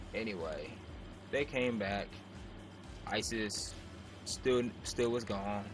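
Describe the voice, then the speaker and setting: A man's medium-pitched, fairly even voice at a very slow pace, with long, frequent pauses, audible room echo and music in the background. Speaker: gaming YouTuber. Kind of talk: casual vlog storytelling. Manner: halting, stumbling over words.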